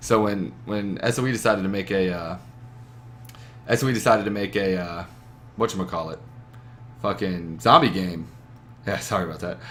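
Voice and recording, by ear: A man speaks at a moderate pace in a low pitch, with ordinary pitch variation, a fairly bright tone, and long, frequent pauses.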